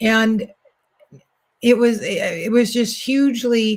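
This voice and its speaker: A somewhat breathy woman's voice. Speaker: spiritual coach and oracle card reader. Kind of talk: oracle card reading. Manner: soft-spoken.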